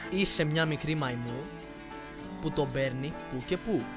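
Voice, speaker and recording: Music plays in the background as a man speaks at a very slow pace. His voice is fairly high, with big swings in loudness. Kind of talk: casual talk to camera.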